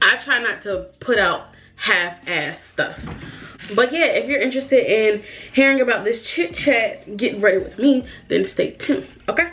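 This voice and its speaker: Noticeable background noise sits behind a woman speaking at a moderate pace. Her pitch is high and her intonation lively. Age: 20s. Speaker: beauty YouTuber. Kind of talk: casual chat. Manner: animated.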